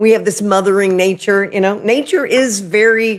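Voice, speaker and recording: Speaking at a moderate pace, a woman with an American accent and fairly high pitch is heard on a very clean recording with a silent background. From Oklahoma. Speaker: spiritual medium and YouTuber. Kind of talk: livestream spiritual talk. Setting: live video stream. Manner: casual, chatty.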